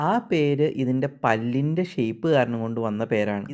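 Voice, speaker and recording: The man speaks at a medium pitch in a plain, everyday voice. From Kerala, India. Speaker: wildlife documentary narrator. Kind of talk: nature documentary narration.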